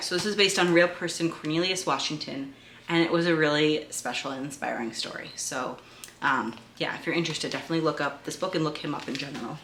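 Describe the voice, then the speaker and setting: A woman with a New England accent speaks very fast in a very deep, low voice, her pitch varying an ordinary amount. Audible room echo and noticeable background noise are present. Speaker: homeschooling parent and video creator. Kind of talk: resource review tutorial. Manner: casual, with frequent fillers.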